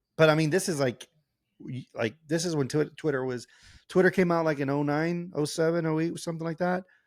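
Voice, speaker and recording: The speech moves at a fairly quick pace. The sound is dry and close with no echo, on a very clean recording with a silent background. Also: man. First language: not English. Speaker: podcast co-host. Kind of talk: casual chat. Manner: animated.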